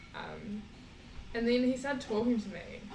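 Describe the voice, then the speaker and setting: A woman's voice in a New Zealand accent with fairly even intonation and audible room echo. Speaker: traveller. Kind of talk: casual chat.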